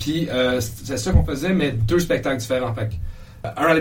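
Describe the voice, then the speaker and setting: Lively in intonation, a man speaks at a medium pitch with audible room echo. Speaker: comedian. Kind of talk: casual chat. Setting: comedy club studio.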